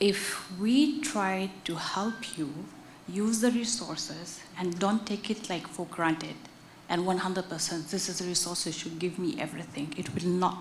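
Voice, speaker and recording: Over noticeable background noise and audible room echo, a woman with a non-native accent talks with lively intonation. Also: medium pitch for a woman. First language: not English. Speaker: audience member at a conference. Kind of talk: conference Q&A answer. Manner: deliberate, clear; hesitant.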